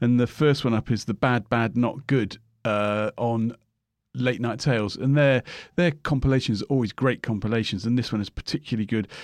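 A man's medium-pitched voice with a British accent and ordinary pitch variation, dry and close with no echo, over a quiet background. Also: moderate pace. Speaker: record shop music expert. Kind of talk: casual chat reviewing albums.

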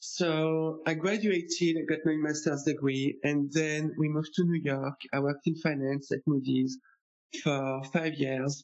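A man with a French accent talks at a fairly slow pace and fairly high pitch, his intonation fairly even and his loudness very even. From France. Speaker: tax accountant. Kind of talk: interview.

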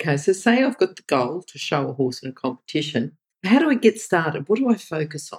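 A woman with an Australian accent, fairly low-pitched and somewhat breathy, talking at a very fast pace with very wide pitch swings in a dry, close recording with no echo. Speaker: podcast interviewer. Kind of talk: interview.

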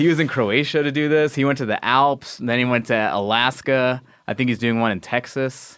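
Recorded very cleanly against a silent background, a man speaks at a moderate pace and medium pitch, with fairly even intonation and very even loudness. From New York, Long Island. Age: 40s. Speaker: comedian and actor. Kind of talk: casual chat. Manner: halting.

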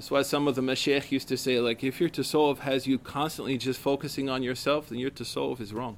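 A man at medium pitch and a very fast pace, with monotone, flat intonation and hardly any pauses. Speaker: religious teacher. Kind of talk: lecture. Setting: stage with audience. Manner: casual, filler-heavy.

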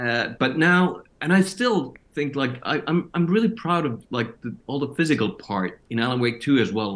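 Here a man speaks with a Finnish accent. His intonation is lively and his pace moderate. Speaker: actor. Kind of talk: interview. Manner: halting.

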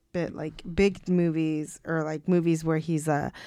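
A woman speaks at a fairly slow pace with a very deep, low pitch and a dark, mellow tone. The recording is very clean, with a silent background. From Mexican-American, US. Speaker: podcast co-host for the episode. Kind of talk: casual chat.

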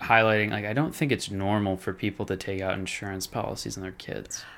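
With a normal speaking voice, a man talks at a fairly quick pace, keeping a fairly low pitch and fairly even intonation. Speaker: co-host. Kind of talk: casual chat.

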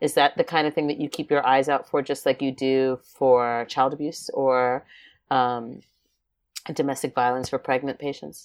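On a very clean recording with a silent background, a woman speaks at a moderate pace in a very deep, low pitch with monotone, flat intonation. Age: middle-aged. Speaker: emergency nurse, podcast co-host. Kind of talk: educational podcast chat.

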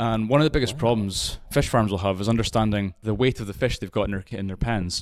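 A man with a Scottish accent, fairly low in pitch, very fast in pace, and fairly even in intonation. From Scotland. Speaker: aquaculture technology company representative. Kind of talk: interview. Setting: recorded at a conference.

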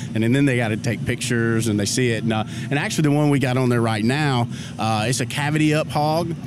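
Speaking very fast in an American accent, a man with a medium pitch keeps his intonation fairly even over noticeable background noise. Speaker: barbecue cook. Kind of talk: casual interview. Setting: outdoors at barbecue festival. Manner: halting, repeats words.

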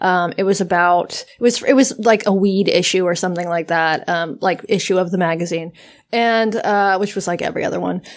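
Speaking at a fairly quick pace with ordinary pitch variation, a woman with a medium pitch is heard in a very clean recording with a silent background. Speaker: podcast co-host. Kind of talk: casual chat. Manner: hesitant, lots of fillers.

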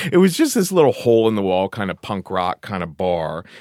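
On a very clean recording with a silent background, a man speaks at a medium pitch in an American accent. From Cincinnati, Ohio. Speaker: comedian and storyteller. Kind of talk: casual interview with storytelling.

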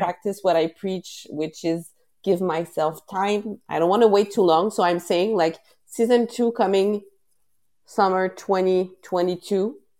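With a Quebec accent, a woman speaks at a medium pitch and a fairly slow pace in a dark, mellow tone. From Quebec, Canada. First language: French. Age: 30s. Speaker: podcast host and wellness advocate. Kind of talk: casual interview. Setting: live stream. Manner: halting, many fillers.

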